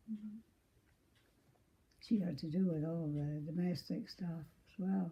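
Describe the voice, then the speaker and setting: Somewhat breathy, a woman speaks at a fairly slow pace with long, frequent pauses. Her pitch is fairly low, with ordinary variation. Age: 80s+. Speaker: former orphanage resident. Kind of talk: interview answer.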